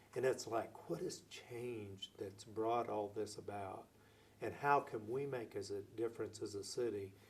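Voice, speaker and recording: A man speaks with an American accent in a medium pitch, his voice somewhat breathy. His pace is moderate and his intonation fairly even. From Oklahoma (Lawton). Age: 60s. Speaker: city mayor. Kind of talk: interview.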